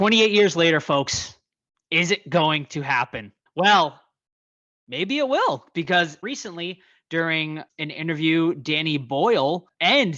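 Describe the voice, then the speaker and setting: Against a quiet background, a man with an American accent speaks at a high pitch and a fairly slow pace, his tone bright, sharp and animated, with lively intonation. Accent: Boston accent, slips out at times. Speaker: podcast host, horror news. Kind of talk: casual podcast news segment.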